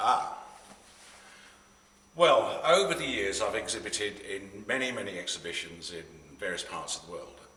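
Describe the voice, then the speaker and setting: A man with an English accent at a moderate pace, long, frequent pauses and big swings in loudness, over noticeable background noise. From England. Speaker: pastel landscape artist. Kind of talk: interview answer. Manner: hesitant, with many fillers.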